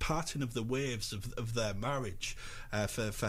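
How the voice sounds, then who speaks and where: Here a man talks at a fairly quick pace with ordinary pitch variation. His voice comes across somewhat breathy. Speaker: film reviewer on local radio. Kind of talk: radio film review segment. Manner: chatty, conversational, with some hesitations.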